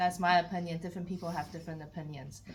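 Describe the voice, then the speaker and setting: Audible room echo surrounds a woman as she speaks. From Taiwan. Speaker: council candidate. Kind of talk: public meeting Q&A. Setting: community hall meeting.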